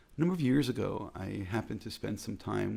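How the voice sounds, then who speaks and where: A man is speaking. He has an American accent. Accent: American accent in Hebrew. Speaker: rabbi. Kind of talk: reflective talk.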